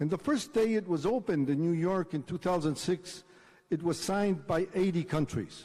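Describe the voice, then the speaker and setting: A man with a Spanish accent has a dark, mellow tone and ordinary pitch variation. He speaks at a moderate pace on a very clean recording with a silent background. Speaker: diplomat. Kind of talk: conference speech.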